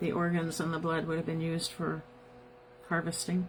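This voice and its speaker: Over noticeable background noise, a woman with an American accent talks at a moderate pace in a fairly low pitch and a monotone, flat intonation. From US Midwest, South Bend, Indiana. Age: 70s. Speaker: podcast host. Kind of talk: live podcast monologue.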